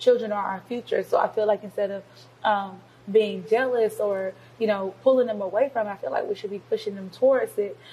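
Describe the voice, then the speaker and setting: A woman with an American accent has an ordinary speaking voice, fairly high in pitch, moving at a fairly quick pace. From US South, Georgia (Covington). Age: 20s. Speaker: youth pastor. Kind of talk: interview.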